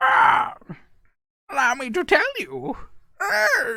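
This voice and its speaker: A put-on character voice, pitched high, moves at a very slow pace. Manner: annoying, exaggerated.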